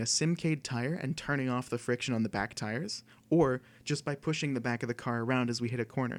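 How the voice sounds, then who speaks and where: A man talks at a fairly quick pace in an unremarkable speaking voice, medium in pitch with ordinary variation. The recording is very clean with a silent background. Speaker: student club presenter. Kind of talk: presentation.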